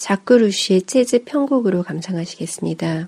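The woman's tone is dark and mellow. She speaks with lively intonation. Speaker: music radio host. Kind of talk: radio-style music program intro and commentary.

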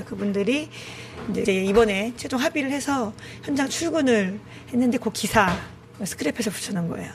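A woman's fairly high voice with lively intonation at a fairly quick pace, over noticeable background noise. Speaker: shelter committee chair, labor activist. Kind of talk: interview. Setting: on location at the shelter.

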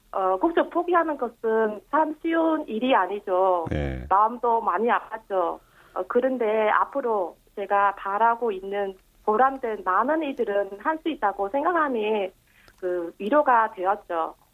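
A woman's fairly high voice with a Vietnamese accent, very slow in pace and lively in intonation. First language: Vietnamese (speaking Korean). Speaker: police officer. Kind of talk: interview. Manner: halting.

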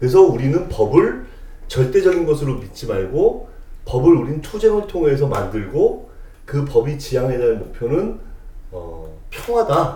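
A man speaks at a fairly slow pace with big swings in loudness. Noticeable background noise runs underneath. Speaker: podcast co-host. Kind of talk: casual chat.

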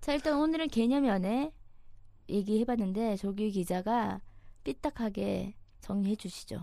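With long, frequent pauses, a woman talks in a fairly high pitch and a dark, mellow tone. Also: lively intonation. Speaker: news reporter and podcast host. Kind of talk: casual banter on dating topics. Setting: studio.

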